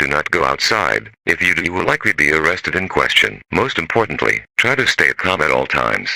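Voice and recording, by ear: A man's extremely low voice with vocal fry, big pitch swings and a bright, sharp tone, at a fairly quick pace, in a dry, close sound with no echo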